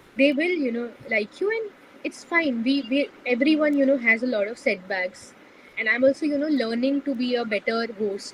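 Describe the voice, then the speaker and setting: Over noticeable background noise, a woman talks at a moderate pace in a high voice with ordinary pitch variation. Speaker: community founder. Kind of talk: podcast interview. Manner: soft-spoken; hesitant, many fillers.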